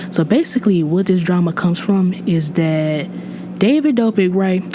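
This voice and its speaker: Over noticeable background noise, a woman speaks at a medium pitch and a moderate pace, with ordinary pitch variation and very even loudness. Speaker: podcast host. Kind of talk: casual commentary podcast. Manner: casual, many fillers.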